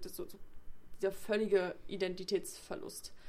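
A woman's voice in a monotone, flat intonation. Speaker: literature podcast co-host. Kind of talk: casual chat.

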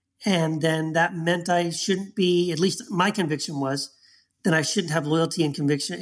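The recording is very clean, with a silent background. A man speaks at a moderate pace with a fairly high pitch and ordinary pitch variation. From Texas. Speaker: author and former pastor. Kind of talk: interview.

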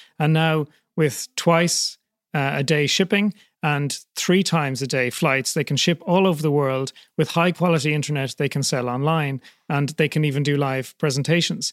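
A man's fairly high voice with an Irish accent at a moderate pace, in a very clean recording with a silent background and a dry, close sound with no echo. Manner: halting.

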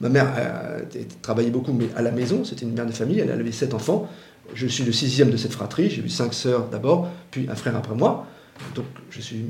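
A man talks at a fairly quick pace and medium pitch, with ordinary pitch variation. Noticeable background noise and audible room echo surround him. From Paris, France. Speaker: former political adviser and author. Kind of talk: interview.

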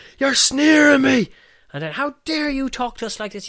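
With an Irish Midlands accent, a man talks fairly quickly in a bright, sharp tone. His intonation is lively, and the sound is dry and close with no echo. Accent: Irish midlands, fairly strong rural. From Offaly, Ireland. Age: 40s. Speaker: pub owner and filmmaker. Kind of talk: casual interview chat with storytelling. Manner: chatty, storytelling, hesitant with fillers.

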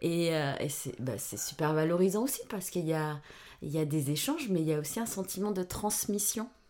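A woman talks at a moderate pace with a fairly low pitch and lively intonation, in an ordinary speaking voice. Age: 50s. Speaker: podcast guest, mother of a host. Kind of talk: casual chat.

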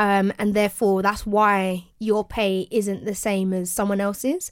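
Here a woman talks with a British accent. Her pace is fairly slow. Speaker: podcast co-host. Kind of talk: casual banter podcast chat.

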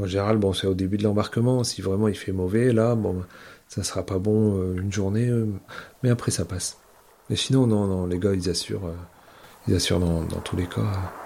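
At a moderate pace, a man with a fairly low pitch and a dark, mellow tone keeps his intonation fairly even, leaving long, frequent pauses. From Brittany, island of Molène. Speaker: ferry captain. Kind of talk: interview testimony.

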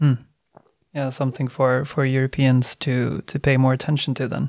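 In a very clean recording with a silent background, a man speaks at a moderate pace with a medium-pitched voice. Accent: Swedish. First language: Swedish. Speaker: podcast host, think tank head. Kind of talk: interview.

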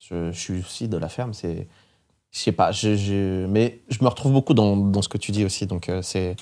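In a very clean recording with a silent background, a man speaks with a dark, mellow tone at a fairly low pitch, a fairly slow pace, and ordinary pitch variation. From France, rural. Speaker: radio host and DJ. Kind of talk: interview. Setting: studio.

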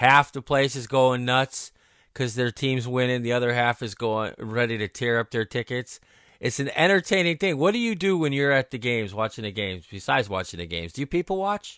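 In a plain, everyday voice, a man talks at a fairly quick pace with medium pitch and lively intonation, the sound dry and close with no echo against a quiet background. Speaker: podcast host. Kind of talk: casual sports betting talk.

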